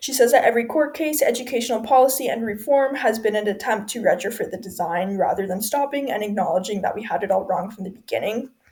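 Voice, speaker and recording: A woman's fairly high, somewhat breathy voice at a very fast pace, with hardly any pauses and ordinary pitch variation. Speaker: student. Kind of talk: class presentation.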